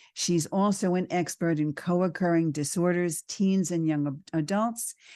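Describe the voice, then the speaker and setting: A woman with a New York accent, a fairly low pitch and a dark, mellow tone at a moderate pace, with ordinary pitch variation over a quiet background. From New York, the Bronx. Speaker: radio host. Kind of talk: talk show interview.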